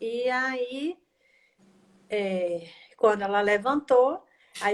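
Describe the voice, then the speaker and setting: A woman speaks very slowly in a fairly high pitch. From Brazil. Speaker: equine-assisted systemic therapist. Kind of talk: casual interview chat. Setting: online live stream.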